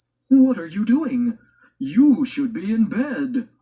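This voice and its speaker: The speaker adopts a put-on character voice. The delivery is fairly slow. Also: man, extremely high pitch for a man. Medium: read story. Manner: admonishing, protective.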